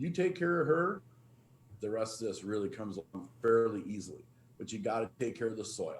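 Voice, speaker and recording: Somewhat breathy and fairly quick, a man speaks with an American accent and lively intonation. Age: 50s. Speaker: farmer. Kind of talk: panel talk.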